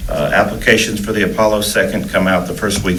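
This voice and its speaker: Against noticeable background noise and audible room echo, a man talks at a fairly quick pace and a fairly low pitch. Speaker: school district administrator. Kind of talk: board meeting report. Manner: halting, many fillers.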